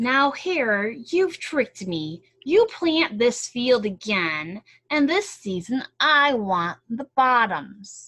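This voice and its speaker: Using a put-on character voice with a fairly high pitch, a woman speaks at a very slow pace. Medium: read story. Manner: slow, drowsy.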